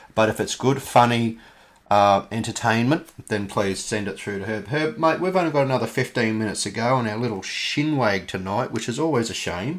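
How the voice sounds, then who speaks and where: The speaker is a man with an Australian accent. He talks at a fairly quick pace with ordinary pitch variation. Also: medium pitch for a man. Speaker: podcast host. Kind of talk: interview. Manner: casual, halting.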